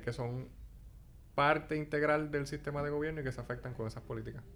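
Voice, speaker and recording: A man talks with monotone, flat intonation. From Puerto Rico. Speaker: graduate student. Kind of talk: casual interview chat.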